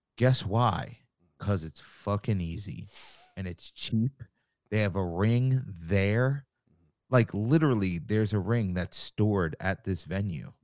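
A man's plain, everyday voice, fairly low in pitch, with ordinary pitch variation and a fairly slow pace, in a very clean recording with a silent background and a dry, close sound with no echo. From Long Island, New York. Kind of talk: casual interview chat.

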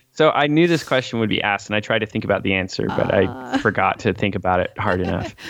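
Over noticeable background noise, a man with a fairly low pitch talks at a very fast pace with lively intonation and hardly any pauses. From Missouri (Springfield). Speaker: musician, former worship and youth pastor. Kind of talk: casual interview chat.

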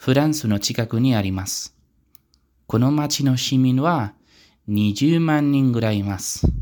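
Medium-pitched male speech with a dark, mellow tone, ordinary pitch variation and a fairly slow pace, on a very clean recording with a silent background. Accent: Spanish. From Spain, Pamplona. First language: Spanish (speaking Japanese). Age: 20s. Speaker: language learner podcaster. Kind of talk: self-introduction monologue. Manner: careful, learner-paced.

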